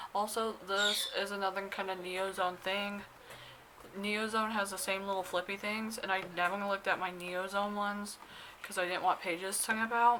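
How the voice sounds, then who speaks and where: A woman talks in a medium pitch with monotone, flat intonation. Noticeable background noise is present. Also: moderate pace. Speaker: K-pop fan vlogger. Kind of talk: unboxing vlog.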